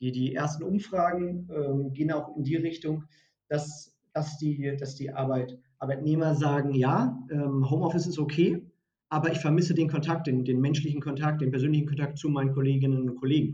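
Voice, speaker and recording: This man's voice is fairly high in pitch, somewhat breathy, and dark and mellow in tone. He speaks at a moderate pace with fairly even intonation. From northern Germany, Hannover area. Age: 30s. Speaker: recruiting consultant. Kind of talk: podcast interview. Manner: halting, many repeated words.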